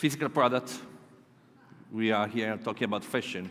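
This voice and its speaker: A man with a southern Italian accent at a fairly quick pace. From southern Italy. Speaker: conference speaker. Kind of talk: keynote presentation. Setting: stage with audience. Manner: halting.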